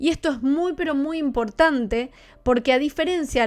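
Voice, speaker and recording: The speaker is a woman. Her delivery is neither fast nor slow, and nothing can be heard behind her. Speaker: astrologer. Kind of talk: live-streamed tutorial. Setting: live stream with chat.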